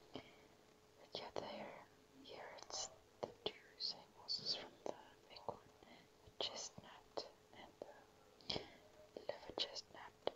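A whisper at a very slow pace, broken by long, frequent pauses. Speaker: ASMR creator. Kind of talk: ASMR whispering. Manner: whispering. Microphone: phone near.

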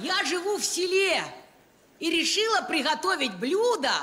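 A woman projects her raised voice at a fairly slow pace, with very wide pitch swings. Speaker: comic performer. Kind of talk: comic monologue. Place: stage. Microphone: handheld.

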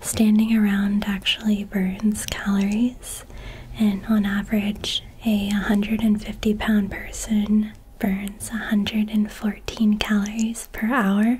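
A calm, soft-spoken woman talks with monotone, flat intonation. Light background noise is present. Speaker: content creator. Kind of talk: casual soft-spoken trivia chat. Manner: soft-spoken, calm sleepy reading voice. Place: home room.

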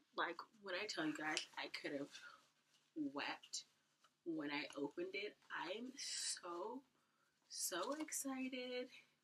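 In a bright, sharp tone with vocal fry, a woman speaks at a very slow pace and a fairly high pitch, her pitch swinging very widely while her loudness stays very even across long, frequent pauses. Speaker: YouTuber. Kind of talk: haul video. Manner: animated.

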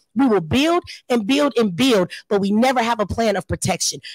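Against a quiet background with a dry sound and no echo, a woman talks at a moderate pace, her fairly high pitch carried by lively intonation. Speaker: panelist. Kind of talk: panel discussion. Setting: stage with audience. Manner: emphatic. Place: hall. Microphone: handheld.

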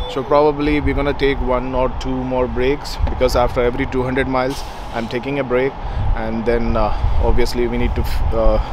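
Noticeable background noise is present, but the sound is dry with no echo. The man speaking moves at a fairly quick pace. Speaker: road trip vlogger. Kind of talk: casual vlog chat. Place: street. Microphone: phone near.

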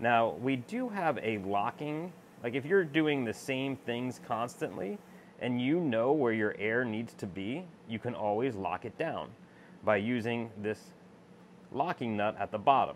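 Over light background noise, a man talks at a fairly slow pace with lively intonation. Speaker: laser machine user demonstrating. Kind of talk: tutorial. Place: workshop. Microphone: phone near.

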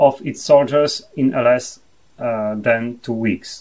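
Against a quiet background, a man with a Polish accent speaks at a fairly slow pace with fairly even intonation. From Poland. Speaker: university professor, military historian. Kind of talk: lecture. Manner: formal, hesitant with filler words. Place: home room.

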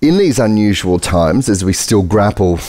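Over a quiet background, a man with a very deep, low pitch speaks at a fairly quick pace. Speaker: event host. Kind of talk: host introduction. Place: stage. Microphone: headset.

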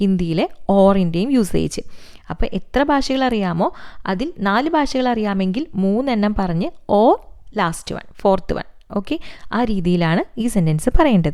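A woman speaks at a medium pitch in a dark, mellow tone. Her pitch swings very widely. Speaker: Hindi teacher on a video channel. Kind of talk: tutorial.

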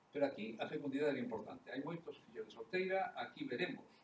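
Very fast speech with very wide pitch swings comes through audible room echo and light background noise. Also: man. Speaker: economist. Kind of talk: lecture. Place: hall. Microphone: podium.

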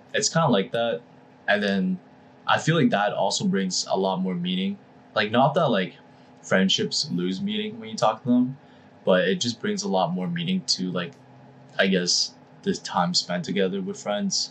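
There is light background noise as the speaker goes at a moderate pace with long, frequent pauses. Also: man. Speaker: podcast co-host. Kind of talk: casual podcast conversation. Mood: relaxed, laughing. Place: home room.

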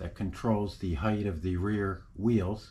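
A man speaks very slowly at a fairly low pitch with fairly even intonation. His voice is somewhat breathy. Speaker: repair channel host. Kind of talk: tutorial. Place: garage. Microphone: phone near.

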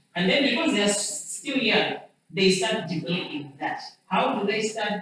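In a room with strong echo and light background noise, a woman at medium pitch talks at a moderate pace with lively intonation. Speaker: lecturer. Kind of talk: lecture. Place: classroom. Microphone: camera far.

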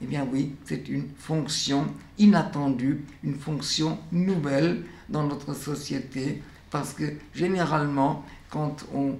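A man speaks at a very slow pace in a fairly high, somewhat breathy voice. His pitch varies in an ordinary way, and there is audible room echo. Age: 90s. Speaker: educator, founder of a children's painting studio; educator. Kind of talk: documentary interview monologue. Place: workshop.

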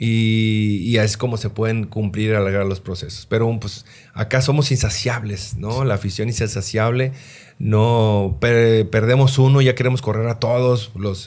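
A man talks at a fairly slow pace. His intonation is fairly even. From Mexico, Sinaloa (Los Mochis); Sinaloa, Mexico. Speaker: retired football goalkeeper, goalkeeping coach; goalkeeping coach. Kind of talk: interview; interview answer. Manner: halting, many repeated words. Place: studio. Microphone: studio mic.

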